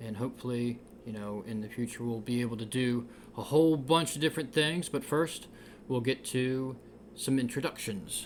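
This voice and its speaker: In a normal speaking voice, a man with an American accent speaks at a moderate pace and medium pitch with ordinary pitch variation. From Delaware, US East Coast. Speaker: podcast host. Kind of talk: casual chat.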